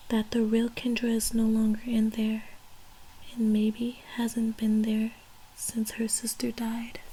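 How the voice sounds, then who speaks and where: A woman's mumbling, very slow and monotone, with flat intonation and very even loudness. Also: fairly high pitch for a woman. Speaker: ASMR creator. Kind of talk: ASMR audiobook reading. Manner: occasional mumbles and pauses.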